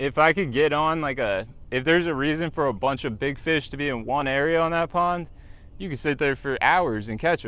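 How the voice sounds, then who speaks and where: An ordinary speaking voice from a man, fairly high in pitch, with ordinary pitch variation and a fairly quick pace. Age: 40s. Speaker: fishing streamer. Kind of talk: casual chat.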